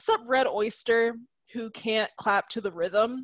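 Recorded with a dry, close sound and no echo, a woman speaks in a fairly high pitch with ordinary pitch variation. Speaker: podcast co-host. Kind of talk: casual chat.

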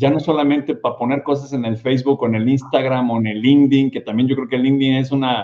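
The delivery is very fast, with a monotone, flat intonation. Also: man. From Mexico, Guadalajara. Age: 50s. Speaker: podcast host. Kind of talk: interview. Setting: studio.

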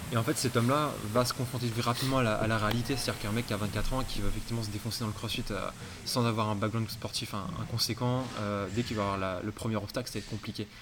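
A man speaks very fast at a medium pitch, his intonation fairly even. The room echo is audible, and there is noticeable background noise. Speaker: podcast host. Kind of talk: casual interview. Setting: CrossFit gym.

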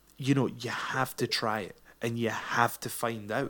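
At a moderate pace, a man speaks in a normal speaking voice, recorded very cleanly with a silent background. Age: 30s. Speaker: pro wrestler and podcast host. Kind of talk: solo monologue podcast.

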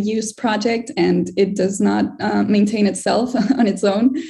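Somewhat breathy, a woman's voice sits at a medium pitch with a dark, mellow tone and moves at a moderate pace. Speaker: strategic initiatives manager presenting. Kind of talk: community call presentation.

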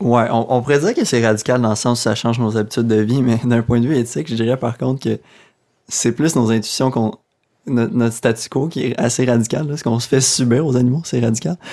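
The recording is very clean, with a silent background. A man speaks at a fairly quick pace with a medium pitch and a dark, mellow tone. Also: ordinary pitch variation. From Quebec, Abitibi. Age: 20s. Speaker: graduate student in animal ethics. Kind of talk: radio interview.

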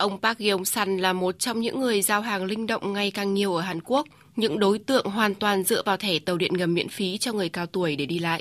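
Speaking at a fairly quick pace with hardly any pauses, a woman has a plain, everyday voice at a medium pitch with ordinary pitch variation, on a very clean recording with a silent background. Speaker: report narrator. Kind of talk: scripted news narration.

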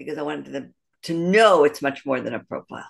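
A woman's very deep, low voice with vocal fry, fairly even intonation and an American accent. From US Midwest, Detroit. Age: 60s. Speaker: matchmaker. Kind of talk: interview. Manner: halting, many fillers and restarts.

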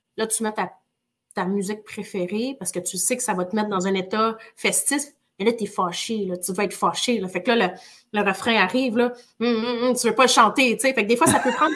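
A woman talks at a fairly quick pace in an energetic tone. Her fairly high voice shows ordinary pitch variation. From northern Quebec (Chibougamau). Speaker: real estate entrepreneur. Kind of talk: interview. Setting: live stream.

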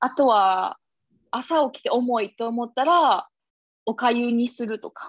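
In a Kansai accent, a woman with a high pitch speaks at a fairly slow pace with big swings in loudness, her sound dry and close with no echo against a quiet background. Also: ordinary pitch variation. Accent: Kansai (Osaka) dialect. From Osaka, Japan. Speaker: yogi and podcast co-host. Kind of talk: casual chat.

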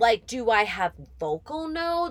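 The tone is animated, bright and sharp. Pitch swings very widely. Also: woman. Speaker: podcast host. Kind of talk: casual chat.

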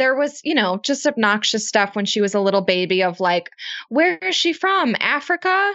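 A woman's fairly high voice with very wide pitch swings and very even loudness. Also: moderate pace. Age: 20s. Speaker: business co-founder. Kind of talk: interview conversation.

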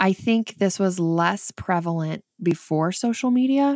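A woman speaks with a northern Michigan accent in a dry, close sound with no echo. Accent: northern Michigan, like Sarah Palin's. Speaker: author and mother guest. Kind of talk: casual interview chat.

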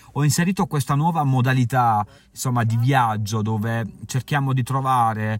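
With music in the background, a man of medium pitch speaks at a moderate pace with ordinary pitch variation. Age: 30s. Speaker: travel podcaster and author. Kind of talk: casual podcast monologue. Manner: halting.

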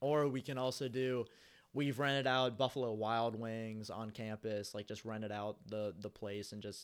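A man's normal speaking voice in a medium pitch, with fairly even intonation and a moderate pace, in a very clean recording with a silent background. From US Midwest, Cincinnati, Ohio. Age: 20s. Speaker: warehouse dock manager. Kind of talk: casual chat.

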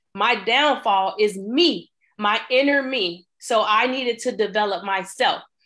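A woman speaks slowly-ish, at a fairly slow pace, with a fairly high pitch. Her tone is bright and sharp, and her loudness stays very even. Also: ordinary pitch variation. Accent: American. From US Midwest, Chicago. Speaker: trucking business accountant and coach. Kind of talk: podcast interview.

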